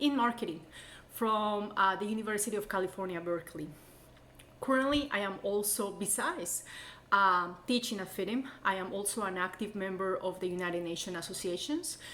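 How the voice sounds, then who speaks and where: A woman speaks in a Colombian accent at a fairly quick pace. Her pitch varies in an ordinary way. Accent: foreign, Colombian Spanish. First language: Spanish. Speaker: college instructor. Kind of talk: course introduction.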